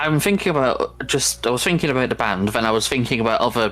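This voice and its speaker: A man with a Manchester accent speaks over noticeable background noise. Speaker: gaming video creator. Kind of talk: casual chat.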